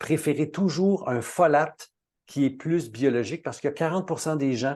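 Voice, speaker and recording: With a Quebec accent, a man speaks at a moderate pace in a dark, mellow tone over a quiet background. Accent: Québécois French. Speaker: natural health expert. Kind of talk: webinar talk. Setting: online webinar.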